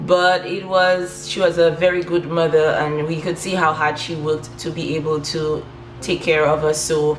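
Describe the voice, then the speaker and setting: A woman with a Saint Lucian accent, very deep and low in pitch, in monotone, flat intonation. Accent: Saint Lucian Caribbean English. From Saint Lucia, south of the island. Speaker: lifestyle vlogger. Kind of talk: personal story. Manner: casual, many fillers.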